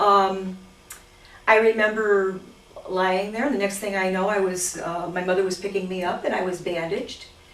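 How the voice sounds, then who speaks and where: A woman talks in a flat, monotone way. Noticeable background noise and audible room echo surround her voice. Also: medium pitch for a woman, moderate pace. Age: 60s. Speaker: cosmetic surgery patient. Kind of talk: testimonial interview.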